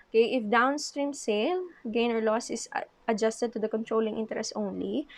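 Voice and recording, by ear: A woman talks at a fairly quick pace with a fairly high pitch. Vocal fry runs through her voice. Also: ordinary pitch variation.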